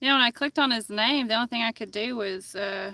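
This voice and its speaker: A woman with a Tennessee accent talks fairly quickly at a fairly high pitch, her intonation fairly even. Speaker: fishing streamer. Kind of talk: live stream chat. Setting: outdoors on a kayak on a river.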